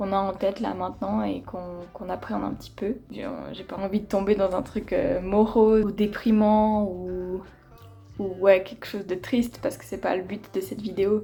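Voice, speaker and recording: Over music in the background, a woman speaks at a medium pitch with fairly even intonation and big swings in loudness. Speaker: vlogger. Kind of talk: casual vlog talk to camera. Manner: hesitant, many fillers.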